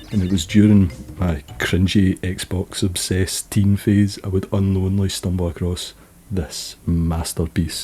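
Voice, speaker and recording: Very deep and low in pitch, a man speaks fairly slowly in a dark, mellow, somewhat breathy tone with fairly even intonation. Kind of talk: casual video essay narration.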